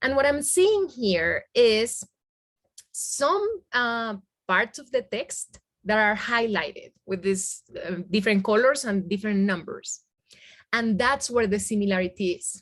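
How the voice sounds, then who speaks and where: Speaking at a fairly slow pace, a woman with a Spanish accent has a fairly high pitch. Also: lively intonation. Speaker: Spanish language teacher. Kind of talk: webinar software demonstration. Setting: video call with screen sharing. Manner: halting, with many fillers.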